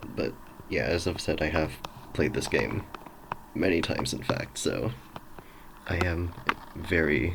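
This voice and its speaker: With noticeable background noise and audible room echo, a man speaks at a very deep, low pitch and a fairly slow pace, pausing long and often. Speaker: gaming streamer. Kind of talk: let's play commentary. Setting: home recording at night. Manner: quiet; casual, hesitant.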